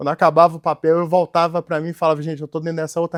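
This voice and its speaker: Recorded very cleanly with a silent background and a dry, close sound without echo, a man speaks with a Minas Gerais accent at fairly high pitch. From Minas Gerais, Brazil. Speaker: entrepreneur and company founder. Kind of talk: interview. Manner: hesitant, many fillers.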